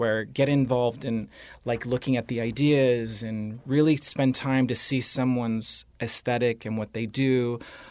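On a very clean recording with a silent background, a man with an American accent talks at a moderate pace and medium pitch, keeping his intonation fairly even. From Southern California, Orange County. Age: 50s. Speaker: makeup artist and photographer. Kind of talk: interview.

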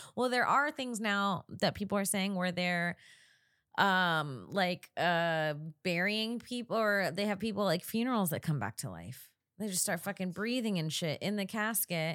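Captured in a very clean recording with a silent background, the speaker uses an animated tone and lively intonation at a fairly slow pace, with an American accent. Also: woman, medium pitch for a woman. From Florida. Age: 30s. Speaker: comedian podcast host. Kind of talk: casual chat. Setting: studio with video chat calls.

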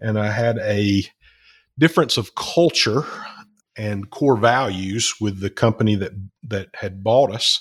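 The voice is somewhat breathy, with a Southern US accent and ordinary pitch variation, at a fairly slow pace with long, frequent pauses. The recording is very clean, with a silent background. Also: man, fairly low pitch for a man. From Alabama. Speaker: company CEO. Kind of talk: casual interview.

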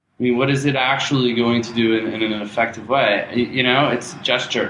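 Through noticeable background noise, a man speaks at a fairly quick pace with medium pitch and fairly even intonation. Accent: American. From New Jersey. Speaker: podcast co-host. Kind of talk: casual chat. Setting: his own apartment.

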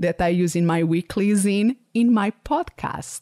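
The recording is dry and close, with no echo. A woman speaks in a Portuguese accent. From Portugal. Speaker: podcast host and business coach. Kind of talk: solo podcast monologue.

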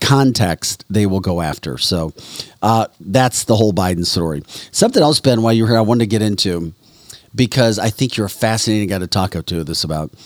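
At a fairly quick pace, a man with a fairly low pitch and ordinary pitch variation speaks in a dry, close sound with no echo. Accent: American. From US Midwest, St. Louis area. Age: 50s. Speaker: podcast host, former TV news reporter. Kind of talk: casual talk show. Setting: studio.

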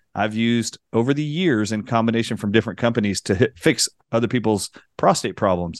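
At a fairly quick pace, a man talks at medium pitch in a dry, close sound with no echo and a quiet background. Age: 40s. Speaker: doctor, natural health co-host. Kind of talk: casual chat. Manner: animated.

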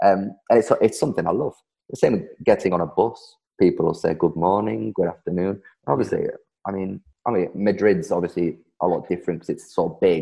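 A man speaks with a Geordie accent. His pace is fairly quick. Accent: Geordie, broad, northeast English. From Darlington, northeast England. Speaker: guest, social media creator teaching Spanish quirks. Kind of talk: casual interview chat.

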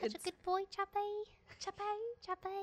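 A put-on character voice at an extremely high pitch, fairly quick in pace, with monotone, flat intonation. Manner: affectionate, talking to a pet.

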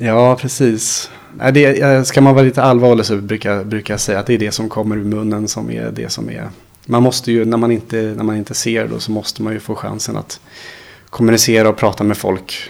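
Speaking fairly quickly, a man with a fairly low pitch delivers his words in a monotone, flat intonation. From Sweden, Småland. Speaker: blind computer instructor. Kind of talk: interview. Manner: halting.

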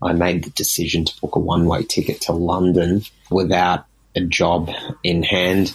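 A man with an Australian accent, very deep and low in pitch, at a moderate pace with monotone, flat intonation. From Sydney, Australia. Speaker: listener. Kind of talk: voicemail.

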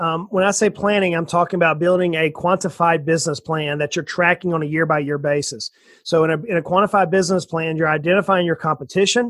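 The recording is very clean, the background silent. A man with a high pitch talks in a Southern US accent. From US South, south Georgia. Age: 40s. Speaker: financial planner and entrepreneur. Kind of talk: interview. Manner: animated.

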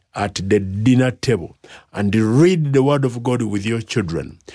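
A man with a Ugandan accent talks at a fairly slow pace, using a medium pitch and ordinary pitch variation. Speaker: pastor and bishop. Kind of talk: radio interview. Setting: studio.

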